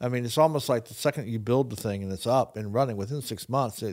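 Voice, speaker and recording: A man with a normal speaking voice talks at a medium pitch with ordinary pitch variation. The recording is very clean, with a silent background. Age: 60s. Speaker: podcast co-host and teacher. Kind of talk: casual chat.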